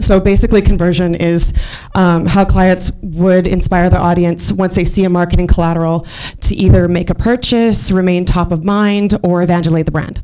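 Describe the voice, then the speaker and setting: Noticeable background noise sits behind a woman with a fairly low pitch. She speaks at a moderate pace with monotone, flat intonation. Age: young. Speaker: marketing executive and speaker. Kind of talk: business presentation.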